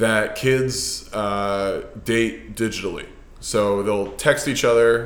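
The man speaks with an American accent, and audible room echo fills the recording. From US West Coast, Los Angeles. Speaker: fitness coach and investor. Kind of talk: casual interview. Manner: halting, many fillers.

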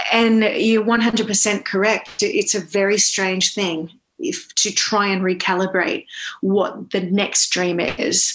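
A woman with an Australian accent, a medium pitch with ordinary variation, and a very slow pace. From Australia, Northern Beaches of Sydney. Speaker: actor and Broadway performer. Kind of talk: casual interview chat. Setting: video call.

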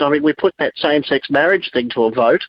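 A fairly quick voice with an Australian accent. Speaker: talkback caller. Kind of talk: talkback call. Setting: phone call.

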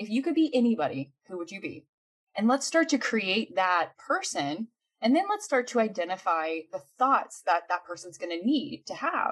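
A woman with a fairly high, somewhat breathy voice talks at a moderate pace, her pitch swinging very widely. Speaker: mindset coach. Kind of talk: interview, conversational talk. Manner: animated, energetic.

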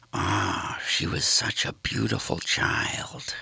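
In a put-on character voice, a man growls out his words at a very slow pace, raspy and pitched very deep and low. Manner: whiny, nasal, fussy.

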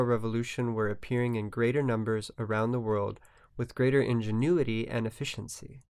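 Over a silent background in a very clean recording, a man in a plain, everyday voice talks fairly quickly at medium pitch. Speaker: podcast co-host. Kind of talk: podcast intro and outro reading.

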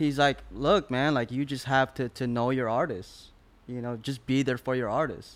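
Fairly even intonation marks this man's speech. His pitch is medium and his pace moderate. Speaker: music industry A&R person. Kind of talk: casual interview. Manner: repetitive, halting with fillers.

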